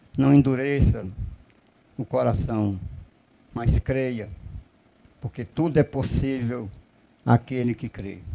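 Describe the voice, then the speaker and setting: A man talks at a very slow pace with long, frequent pauses. His pitch varies in an ordinary way over noticeable background noise. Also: dry, close sound with no echo. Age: 60s. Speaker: preacher. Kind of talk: sermon.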